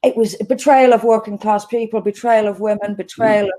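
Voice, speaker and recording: A woman with a fairly high pitch and a dark, mellow tone speaks at a moderate pace with ordinary pitch variation. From Ireland, Dublin. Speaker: politician. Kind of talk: interview.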